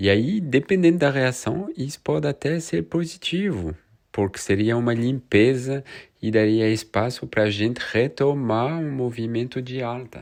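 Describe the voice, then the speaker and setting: Over a quiet background, the speaker talks at a fairly slow pace with a French accent. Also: man. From France. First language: French (speaking Portuguese). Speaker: crypto market analyst youtuber. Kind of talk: market analysis video. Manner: casual, conversational.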